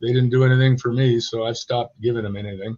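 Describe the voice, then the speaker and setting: A man's medium-pitched, somewhat breathy voice with an American accent at a fairly quick pace. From California. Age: 80s+. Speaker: reptile keeper and breeder. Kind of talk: podcast interview.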